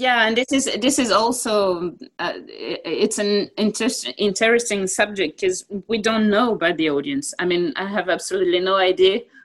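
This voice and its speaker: A woman speaks at a moderate pace with a French accent. Her pitch sits in the middle range, with ordinary variation. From France. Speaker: football TV presenter. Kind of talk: interview.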